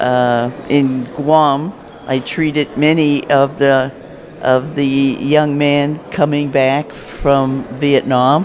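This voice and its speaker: A man talks with a fairly high pitch. Noticeable background noise is present. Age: 70s. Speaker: retired navy nurse, veteran. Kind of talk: short personal testimony.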